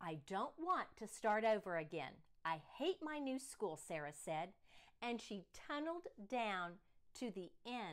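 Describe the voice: Plain reading aloud, nothing more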